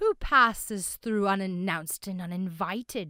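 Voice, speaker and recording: On a very clean recording with a silent background, a female-sounding voice does a put-on character voice at a middle pitch and moderate pace. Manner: challenging, suspicious.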